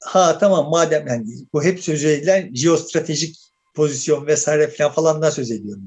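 A man with a fairly high voice talks at a moderate pace, somewhat breathy, with ordinary pitch variation and big swings in loudness. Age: 60s. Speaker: political commentator. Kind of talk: casual chat.

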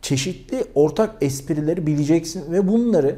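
Lively intonation marks this man's speech, his pitch fairly high and his tone dark and mellow. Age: 40s. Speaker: YouTuber. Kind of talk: vlog monologue.

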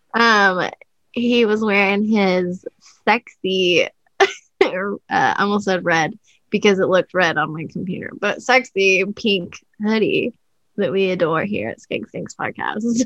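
A woman at a medium pitch and fairly slow pace, in a dry, close sound with no echo. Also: ordinary pitch variation. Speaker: podcast co-host. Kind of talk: casual chat. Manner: sounds sarcastic.

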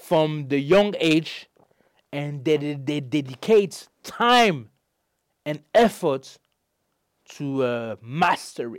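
A man speaks at a very slow pace and a fairly high pitch, with long, frequent pauses, big swings in loudness and lively intonation. The recording is very clean, with a silent background. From Belgium. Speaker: life coach and author. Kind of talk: interview, personal life story. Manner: halting, many fillers.

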